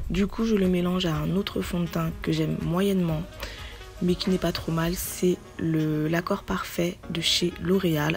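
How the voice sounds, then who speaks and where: A woman with a fairly low pitch speaks at a very slow pace, with monotone, flat intonation and very even loudness. Music plays in the background. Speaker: beauty vlogger. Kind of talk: casual talk to camera.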